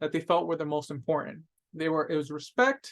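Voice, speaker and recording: A man is speaking. His tone is bright and sharp. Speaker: webinar presenter, data officer; webinar presenter. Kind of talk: webinar training presentation. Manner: fast. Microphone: webcam.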